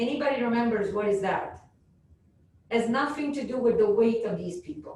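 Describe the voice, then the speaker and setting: A loud woman with a fairly high pitch and ordinary pitch variation speaks at a moderate pace, with audible room echo. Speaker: professor. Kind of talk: lecture.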